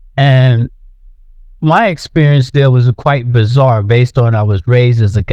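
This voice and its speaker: A man with an American accent speaks at a fairly slow pace in a medium pitch. His tone is dark and mellow, and his intonation is lively. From US Northeast, Philadelphia. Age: 70s. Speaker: artist. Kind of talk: interview. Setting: podcast. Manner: halting, with repetitions.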